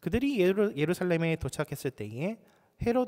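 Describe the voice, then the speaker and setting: A man's high voice in very wide pitch swings, in a very clean recording with a silent background. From South Korea, Busan. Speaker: pastor. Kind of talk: sermon.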